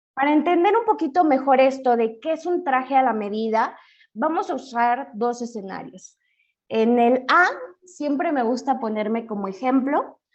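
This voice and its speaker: With lively intonation, a woman speaks at a fairly slow pace in a high voice. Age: 30s. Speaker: financial educator. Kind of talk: webinar lecture.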